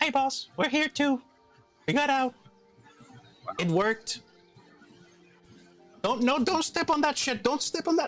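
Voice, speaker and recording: Faint music plays in the background as a man in a put-on character voice speaks at an extremely high pitch, with long, frequent pauses. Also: moderate pace. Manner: urgent, whispered warning.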